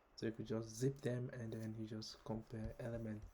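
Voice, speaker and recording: A man with a dark, mellow, somewhat breathy tone talks at a moderate pace. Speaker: programming tutorial creator. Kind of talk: tutorial. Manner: hesitant, many fillers.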